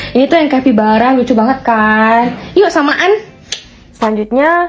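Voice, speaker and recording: A woman's high voice with lively intonation, fairly slow pace, and very even loudness, over noticeable background noise. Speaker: vlogger. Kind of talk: casual vlog answering viewer questions. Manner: casual, chatty.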